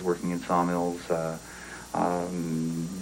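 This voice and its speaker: Against noticeable background noise, a man with a western Canadian accent speaks at a very deep, low pitch. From western Canada, British Columbia. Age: 40s. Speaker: poet. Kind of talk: interview. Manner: halting, many fillers.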